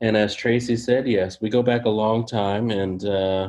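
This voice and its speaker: A monotone, flat delivery in an American accent at a moderate pace. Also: man. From San Francisco, California. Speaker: professor. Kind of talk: interview.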